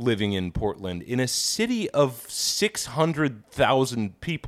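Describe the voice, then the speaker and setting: An American accent colors this man's animated tone, delivered at a medium pitch. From Kansas, US Midwest. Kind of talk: casual comedic banter, podcast. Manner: animated, profane, joking.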